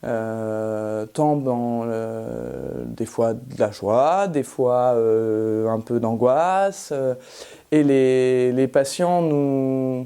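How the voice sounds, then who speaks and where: A woman's very deep, low voice, dark and mellow in tone, at a very slow pace. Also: ordinary pitch variation. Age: 30s. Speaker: rural general practitioner. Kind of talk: interview testimony. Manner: hesitant, many fillers.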